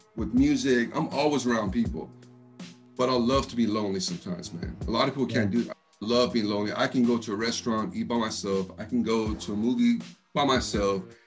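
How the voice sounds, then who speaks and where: A man with an American accent at a very fast pace, ordinary pitch variation, music in the background. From Texas. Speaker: rapper, interview guest. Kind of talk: casual, slangy, says "man" a lot. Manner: fast talker.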